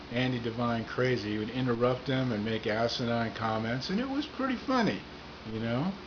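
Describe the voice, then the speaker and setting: Amid noticeable background noise and audible room echo, a man talks at a moderate pace and medium pitch. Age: 60s. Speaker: comedian. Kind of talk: casual monologue to camera.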